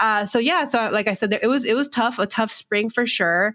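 A woman speaks with a Californian accent. Her pace is fairly quick. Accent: Californian American English. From Southern California border town. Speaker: financial educator and entrepreneur. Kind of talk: casual interview.

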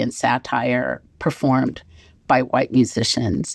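On a very clean recording with a silent background, a woman with a very deep, low pitch and vocal fry speaks at a fairly slow pace. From Nashville, Tennessee. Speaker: professor and author. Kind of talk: interview.

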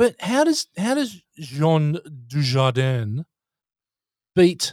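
Recorded dry and close with no echo, a fairly high-pitched man with an Australian accent speaks with lively intonation. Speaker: podcast host. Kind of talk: casual chat.

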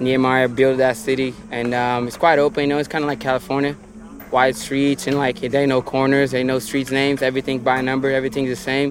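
A man talks at a very fast pace. Music sounds in the background. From Brazil, Brasilia. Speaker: professional skateboarder. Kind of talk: interview.

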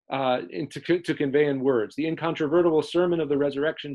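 The man has an ordinary speaking voice. His pitch is fairly high and his intonation fairly even. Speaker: priest podcaster. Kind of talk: casual chat. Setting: video podcast. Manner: laughs often, casual.

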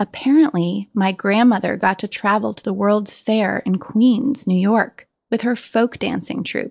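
A woman with an American accent has a plain, everyday voice at a fairly high pitch with ordinary pitch variation. She speaks at a fairly slow pace, and the sound is dry and close with no echo. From Colorado. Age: 40s. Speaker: writer. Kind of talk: scripted narration.

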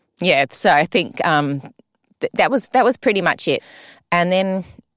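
A woman with an Australian accent speaks at a moderate pace. The recording is very clean with a silent background, and the sound is dry and close with no echo. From Sydney, Australia. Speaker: retired ballerina, ballet school director. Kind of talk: interview.

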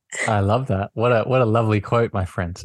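Over a quiet background, a man with an unremarkable speaking voice talks at a fairly quick pace and a fairly low pitch. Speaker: podcast host and coach. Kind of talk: coaching conversation. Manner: warm, spiritual, affirming.

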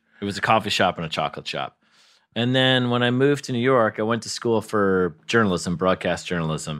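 A man with a plain, everyday voice speaks at a fairly quick pace with lively intonation. The recording is very clean, with a silent background. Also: fairly low pitch for a man. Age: 40s. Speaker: comedy writer. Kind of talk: casual chat.

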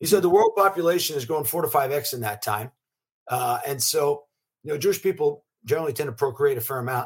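Rushing at a very fast pace, a man speaks in a fairly high, somewhat breathy voice with lively intonation. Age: 50s. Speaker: venture capitalist. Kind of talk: interview.

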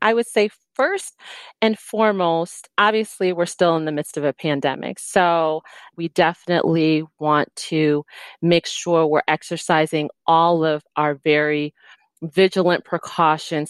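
In an ordinary speaking voice, a woman speaks at a fairly slow pace with a fairly low pitch and ordinary pitch variation, recorded very cleanly against a silent background with a dry, close sound and no echo. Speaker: security consultant, former Secret Service agent. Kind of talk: interview, safety advice.

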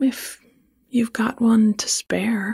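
A female-sounding, put-on character voice with monotone, flat intonation. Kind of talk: posh, affected, la-di-da.

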